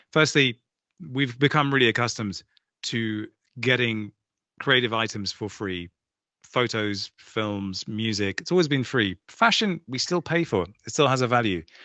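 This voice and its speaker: A man's medium-pitched voice with an English accent, moderate pace, lively intonation and long, frequent pauses. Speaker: crypto show co-host. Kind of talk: casual panel discussion.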